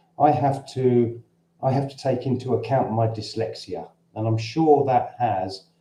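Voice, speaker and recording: This man speaks at a fairly slow pace with a dark, mellow tone. His voice is somewhat breathy, with ordinary pitch variation. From London, Cockney. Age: 60s. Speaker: expat vlogger. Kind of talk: livestream Q&A. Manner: halting. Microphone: camera's built-in mic.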